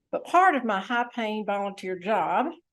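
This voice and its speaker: A woman's moderately paced speech, very clean recording, silent background. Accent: Southern US. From US South, Tennessee. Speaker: club district leader, speaker. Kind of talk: speech to club meeting. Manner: quiet.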